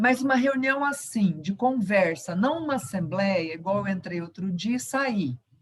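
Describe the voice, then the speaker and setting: Over noticeable background noise, a woman at a medium pitch talks at a fairly slow pace with very wide pitch swings and hardly any pauses. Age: 60s. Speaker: retired university professor, union member. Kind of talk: question at online union meeting.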